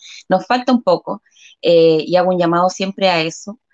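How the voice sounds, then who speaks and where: A woman speaks in an unremarkable speaking voice at a fairly slow pace. The sound is dry and close, with no echo. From Chile, Concepción. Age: 40s. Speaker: local council candidate, community leader. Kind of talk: interview. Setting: live stream.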